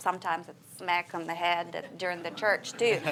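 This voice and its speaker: A woman's fairly low, flat monotone at a moderate pace, in a very clean recording with a silent background. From Siberia, Russia. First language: Russian. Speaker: preacher's wife, church member. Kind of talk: church interview.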